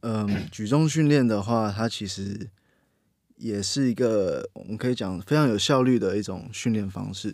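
Here a man speaks at a fairly low pitch with ordinary pitch variation. His pace is fairly slow. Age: 20s. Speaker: strength and weightlifting coach. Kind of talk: casual chat.

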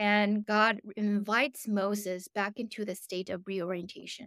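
A woman with a Korean accent speaks at a fairly slow pace, her medium-pitched voice bright and sharp in tone. The recording is very clean, with a silent background and a dry, close sound without echo. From South Korea, moved to US at eleven. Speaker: theology professor. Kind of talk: lecture. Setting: conference with audience.

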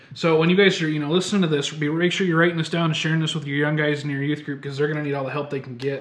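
A man talks at a very fast pace with hardly any pauses, in a fairly high, monotone, flat voice. Noticeable background noise and audible room echo surround him. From Michigan. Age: 20s. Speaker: podcast co-host, ministry student. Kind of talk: casual chat.

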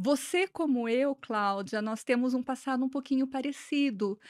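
Dry and close with no echo, the speech moves at a fairly slow pace in a very clean recording with a silent background. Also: woman. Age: 40s. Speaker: businesswoman, franchise owner. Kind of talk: interview, casual chat.

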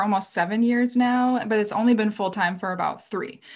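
On a very clean recording with a silent background, a woman speaks at a moderate pace in a somewhat breathy voice with ordinary pitch variation. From rural Minnesota, US Midwest. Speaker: outdoor writer and former guide. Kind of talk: casual interview.

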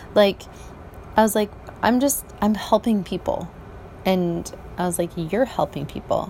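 A woman's medium-pitched voice at a fairly slow pace, with ordinary pitch variation, long, frequent pauses and noticeable background noise. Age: 40s. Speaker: podcaster and office cleaner. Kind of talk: personal monologue. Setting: outdoors on a balcony at night. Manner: halting.

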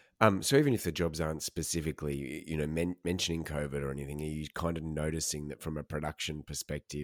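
This man has an Australian accent. His pitch is very deep and low. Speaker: podcast host and interviewer. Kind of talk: casual interview.

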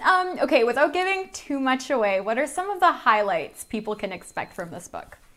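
Over noticeable background noise, a woman talks at a fairly quick pace with hardly any pauses. Her high voice makes very wide pitch swings. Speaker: interviewer. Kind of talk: interview.

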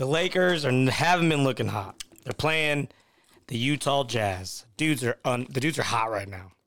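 The delivery has lively intonation at a moderate pace. It is a plain, everyday voice. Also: man, medium pitch for a man. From Victoria, Texas. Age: 20s. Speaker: former pro baseball player, podcast co-host. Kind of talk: casual chat.

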